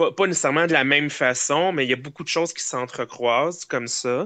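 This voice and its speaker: Recorded dry and close with no echo against a quiet background, the voice has a bright, sharp tone, a Quebec accent and ordinary pitch variation. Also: man. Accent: Québécois French. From Quebec, Eastern Townships (Cowansville). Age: 30s. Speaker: podcast guest. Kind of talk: casual chat. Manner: hesitant, many fillers.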